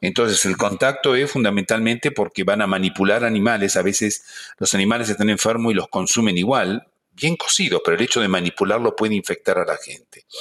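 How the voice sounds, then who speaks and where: A man with an Argentine accent and a medium pitch talks at a fairly quick pace in a very clean recording with a silent background. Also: ordinary pitch variation. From Argentina, Buenos Aires. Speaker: veterinary professor. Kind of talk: interview.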